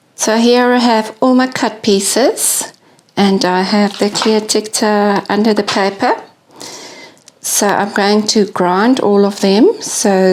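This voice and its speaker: With a South African accent, a woman talks at a very slow pace, her medium pitch set in fairly even intonation. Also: very even loudness. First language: Afrikaans. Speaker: glass artist. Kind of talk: tutorial. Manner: casual, occasional stumbles.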